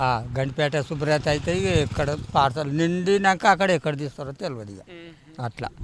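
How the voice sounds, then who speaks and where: There is noticeable background noise behind this man. He has a fairly high pitch and ordinary pitch variation. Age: old. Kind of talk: interview answer. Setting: outdoors.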